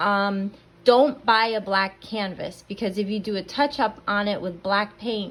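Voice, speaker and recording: Speaking at a fairly slow pace, a woman with an unremarkable speaking voice talks at a medium pitch. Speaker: painting instructor. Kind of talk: tutorial. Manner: casual, conversational.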